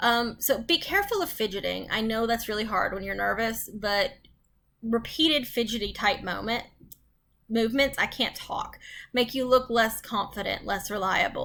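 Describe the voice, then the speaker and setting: Her tone is bright and sharp, at a fairly high pitch for a woman. There is vocal fry in her voice. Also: ordinary pitch variation, moderate pace. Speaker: college instructor. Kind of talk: recorded lecture. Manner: halting, stumbling over words; conversational, frequent ums.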